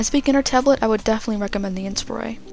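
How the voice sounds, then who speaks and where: Music plays in the background. The speech is very fast, with fairly even intonation. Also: woman. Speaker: digital artist. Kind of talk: product review voice-over.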